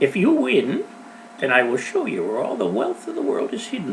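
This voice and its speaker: Against clear background noise, a man talks in a put-on character voice. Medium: read story. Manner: cheerful, assured.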